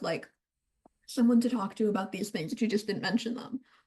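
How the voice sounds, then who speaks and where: Fairly high-pitched woman with a slight Eastern European accent and ordinary pitch variation. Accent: slight Eastern European accent on some words. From Romania. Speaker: book reviewer. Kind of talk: casual chat.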